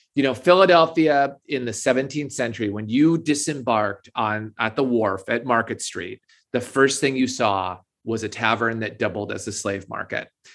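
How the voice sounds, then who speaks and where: A man with a plain, everyday voice speaks at a moderate pace in a medium pitch with ordinary pitch variation on a very clean recording with a silent background. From Minnesota. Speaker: author and English professor. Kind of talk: interview.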